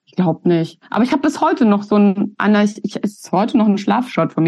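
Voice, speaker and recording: A woman speaks in a fairly high, somewhat breathy voice. Her intonation is lively. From Germany, Hesse (near Giessen). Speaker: punk musician and sociologist. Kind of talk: casual interview conversation.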